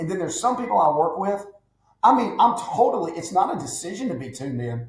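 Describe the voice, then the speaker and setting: A man's high, animated voice, racing along very fast with very wide pitch swings, in a room with audible echo. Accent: Southern US. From Alabama. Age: 50s. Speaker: business advisor. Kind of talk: podcast interview.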